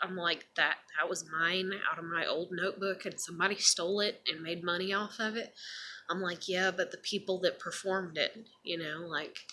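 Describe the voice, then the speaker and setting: The woman speaks at a medium pitch. Her intonation is flat and monotone. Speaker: vlogger. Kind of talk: casual monologue vlog. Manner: rambling with many fillers. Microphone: may be too quiet.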